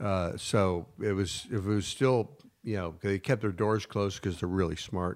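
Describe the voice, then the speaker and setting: On a very clean recording with a silent background, a man with a fairly low pitch speaks at a moderate pace and fairly even intonation. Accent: American. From Northern California, Napa and Sonoma. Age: 50s. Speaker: former winery worker and chef. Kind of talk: casual chat. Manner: halting, many fillers.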